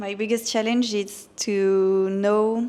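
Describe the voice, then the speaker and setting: In a French accent, a woman speaks at a very slow pace. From France. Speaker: physiotherapist and online fitness coach. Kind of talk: casual interview. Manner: halting.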